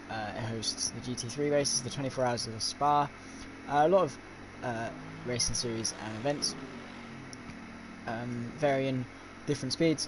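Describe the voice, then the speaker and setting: Over noticeable background noise, a man with a British accent speaks at medium pitch, leaving long, frequent pauses. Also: fairly even intonation, moderate pace. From Britain. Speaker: sim racing commentator. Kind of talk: live commentary. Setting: live stream.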